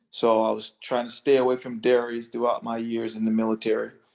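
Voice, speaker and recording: Speaking at a moderate pace, a man holds a medium pitch with monotone, flat intonation. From rural area. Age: 60s. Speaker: navy veteran. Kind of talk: testimony.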